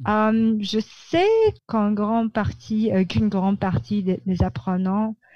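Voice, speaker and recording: Somewhat breathy and dark, mellow in tone, the voice moves at a very slow pace over a quiet background. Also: woman, very even loudness. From Philippines, Manila. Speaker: publicist. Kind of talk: interview. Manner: halting.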